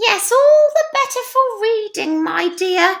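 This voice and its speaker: In a put-on character voice, a woman speaks fairly slowly with an extremely high, squeaky pitch and a gruff edge. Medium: read story. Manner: gruff, sly.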